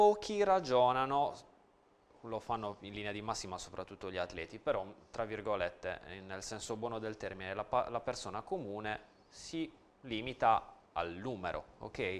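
A man's fairly low voice at a moderate pace, broken by long, frequent pauses. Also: ordinary pitch variation. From Sardinia, La Maddalena; Sardinia. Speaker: nutritionist; guest. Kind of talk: TV interview. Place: studio. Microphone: lapel.

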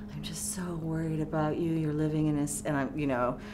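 A woman speaks at a moderate pace in a very deep, low pitch with monotone, flat intonation. Clear music plays in the background. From California. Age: 40s. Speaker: poet and professor; poet, professor. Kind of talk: oral history interview. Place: studio.

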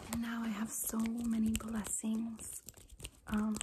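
A soft-spoken woman with a gentle tone, against loud background noise. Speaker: ASMR creator. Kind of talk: casual vlog chat. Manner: soft-spoken, gentle, intimate ASMR voice.

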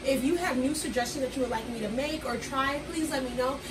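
Over noticeable background noise, a woman talks at a very fast pace. Her pitch is high and her intonation fairly even. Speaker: home cook vlogger. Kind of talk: casual vlog chat. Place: kitchen. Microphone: phone near.

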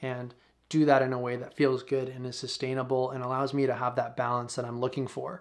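Over a quiet background, a man speaks at a fairly quick pace with monotone, flat intonation. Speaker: YouTuber. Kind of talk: casual monologue to camera, vlog style. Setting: home video recording, single camera. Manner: relaxed, conversational. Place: home room.

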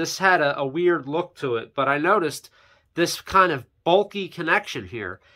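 A man speaks at a moderate pace with a high pitch and a bright, sharp tone. The background is quiet. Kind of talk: tutorial.

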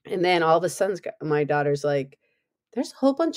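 Dry and close with no echo, a normal speaking voice moves at a fairly quick pace with ordinary pitch variation. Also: woman. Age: 50s. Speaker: podcast host. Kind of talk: interview conversation.

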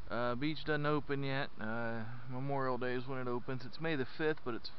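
A man talks at a moderate pace, his pitch varying in an ordinary way, in a dry sound with no echo and with light background noise. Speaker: parent hiking vlogger. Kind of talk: casual vlog chat. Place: beach. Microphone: helmet.

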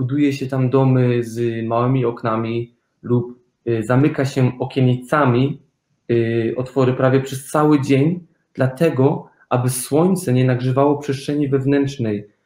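Amid audible room echo, a man with a dark, mellow tone speaks at a fairly slow pace with fairly even intonation. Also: quiet background. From Germany. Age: young. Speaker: architect; guest. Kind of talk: interview. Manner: hesitant, with fillers. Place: home room.

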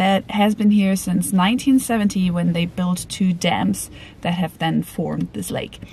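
A woman speaks at a moderate pace in a somewhat breathy voice, with a dry sound and no echo. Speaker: travel vlogger. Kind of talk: casual vlog chat. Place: car. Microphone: phone near.

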